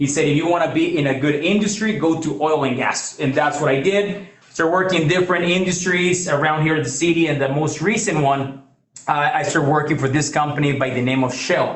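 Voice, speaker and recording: A man with a Mexican accent and a fairly high pitch, at a fairly quick pace with very even loudness and ordinary pitch variation, amid noticeable background noise and audible room echo. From Mexico. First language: Spanish. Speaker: financial services presenter. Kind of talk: business presentation. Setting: in-person meeting also streamed on video call.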